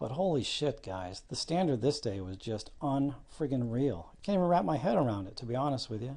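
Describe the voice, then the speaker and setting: A man speaks quietly at a fairly quick pace. His medium-pitched voice has a dark, mellow tone. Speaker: darts news youtuber. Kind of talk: casual vlog commentary. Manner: subdued, kept quiet.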